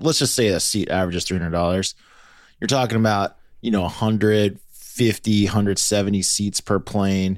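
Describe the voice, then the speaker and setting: An ordinary speaking voice moves at a fairly quick pace with ordinary pitch variation. The recording is very clean and the background silent. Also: man. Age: 40s. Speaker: podcast host. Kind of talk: casual chat.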